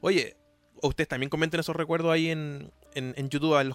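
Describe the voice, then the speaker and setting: Dry, close sound with no echo carries a man's normal speaking voice, fairly high in pitch and at a fairly quick pace. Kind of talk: casual interview.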